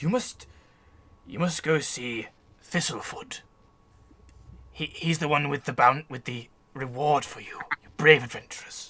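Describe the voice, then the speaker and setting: Putting on a raspy character voice pitched fairly high, a man talks at a moderate pace with ordinary pitch variation and long, frequent pauses. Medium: actual play.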